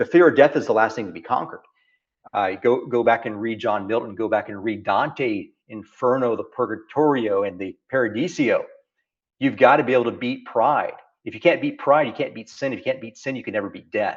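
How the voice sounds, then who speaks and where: A man with a Texas accent, big swings in loudness, over a quiet background. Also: medium pitch for a man, ordinary pitch variation, fairly quick pace. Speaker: founder and business leader. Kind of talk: interview conversation. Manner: animated, repetitive phrasing.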